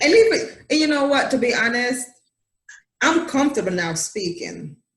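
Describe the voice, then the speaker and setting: This voice carries a Jamaican accent. It moves at a moderate pace. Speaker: talk show host. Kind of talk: casual interview chat.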